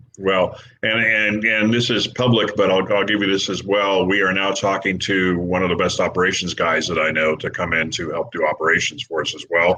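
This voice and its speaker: A man speaks at a fairly low pitch and a fairly quick pace, with hardly any pauses. His intonation is fairly even, and there is noticeable background noise. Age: 60s. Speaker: podcast host. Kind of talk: casual chat.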